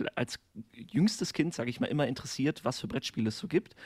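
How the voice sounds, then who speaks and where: In a dry, close sound with no echo, a man with a somewhat breathy, fairly high voice talks at a fairly quick pace with very wide pitch swings. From western Germany, near Koblenz. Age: 30s. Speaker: primary school teacher, podcaster. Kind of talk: casual chat.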